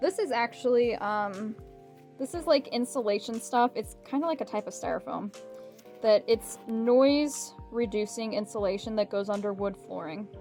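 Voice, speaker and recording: A woman speaks at a moderate pace with a fairly high pitch, music playing in the background. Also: lively intonation. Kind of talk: casual, explaining.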